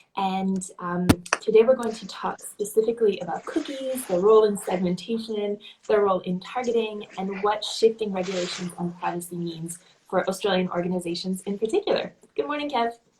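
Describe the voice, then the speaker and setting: With an American accent, a woman talks in a normal speaking voice at a medium pitch and a fairly quick pace. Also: ordinary pitch variation. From Canada. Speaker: digital marketing agency host. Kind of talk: live-streamed interview. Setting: Instagram live video call.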